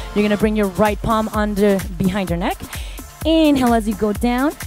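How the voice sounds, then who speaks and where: Clear music plays behind a woman who speaks at a moderate pace with ordinary pitch variation, in a dry sound with no echo. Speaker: fitness instructor. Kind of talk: workout class instruction. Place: gym.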